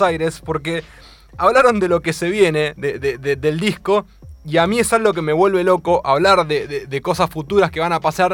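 With lively intonation, a man speaks fairly quickly. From Argentina, Mar del Plata. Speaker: radio host. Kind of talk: radio interview. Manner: animated.

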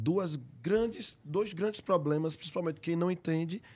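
A man speaks at a fairly high pitch and a moderate pace. His tone is dark and mellow, with ordinary pitch variation. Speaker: podcast host. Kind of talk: live podcast conversation. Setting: live-streamed studio.

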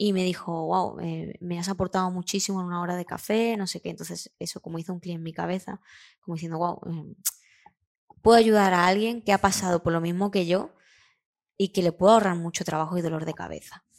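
A woman talks at a fairly quick pace in a fairly low pitch, her intonation monotone and flat while her loudness swings widely. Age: 30s. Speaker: graphic designer and illustrator. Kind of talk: interview. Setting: studio.

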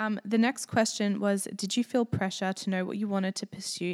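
Her speech comes at a fairly quick pace with hardly any pauses. This woman keeps her intonation fairly even, and the sound is dry and close with no echo. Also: very clean recording, silent background. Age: 20s. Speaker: podcast co-host. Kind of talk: casual chat.

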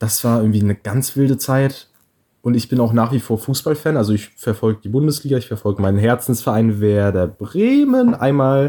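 Recorded very cleanly against a silent background, a man talks at a fairly quick pace in a dark, mellow tone. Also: medium pitch for a man, ordinary pitch variation. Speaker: podcast co-host. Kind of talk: casual chat. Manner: animated.

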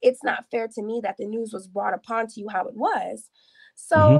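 Heard in a dry, close sound with no echo, a woman has a normal speaking voice with a fairly high pitch. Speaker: caller. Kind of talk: casual chat. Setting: video call.

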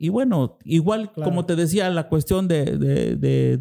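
This man's voice sits high in pitch and has a dark, mellow tone, captured in a very clean recording against a silent background. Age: 40s. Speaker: podcast host. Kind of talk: interview.

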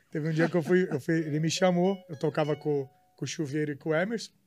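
An unremarkable speaking voice moves at a fairly quick pace with fairly even intonation, in a very clean recording with a silent background. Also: man. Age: 30s. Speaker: podcast co-host. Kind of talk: casual chat.

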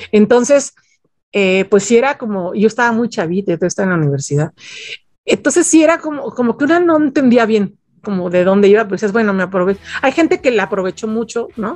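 Very wide pitch swings from a woman with a fairly high pitch. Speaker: music journalist. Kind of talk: interview.

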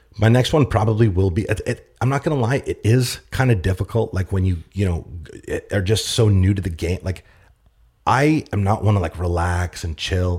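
Somewhat breathy, a man speaks at a fairly low pitch and a moderate pace. His pitch varies in an ordinary way. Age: 30s. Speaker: business owner. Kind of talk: interview conversation. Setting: studio.

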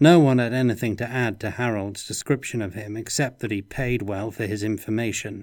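In a very clean recording with a silent background, a man with a normal speaking voice talks at medium pitch and a fairly quick pace, with fairly even intonation and hardly any pauses. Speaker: narrator reading aloud. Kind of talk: audiobook narration of noir fantasy, read aloud. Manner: moody, dry noir-style delivery with character voices.

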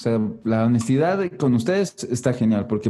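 A man speaks at a fairly slow pace with a Mexican accent, with music playing in the background. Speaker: podcast host. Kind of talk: casual chat.

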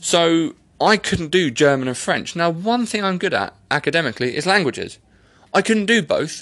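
A man with an English accent speaks in an animated tone at a high pitch and a moderate pace. His intonation is lively, and the background is quiet. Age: 30s. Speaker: podcast host. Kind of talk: casual monologue. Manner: rambling, animated.

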